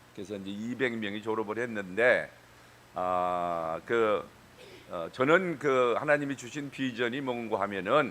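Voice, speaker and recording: Speaking at a very slow pace, a man at medium pitch uses lively intonation and big swings in loudness. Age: 70s. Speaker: pastor. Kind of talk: sermon. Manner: halting, many fillers.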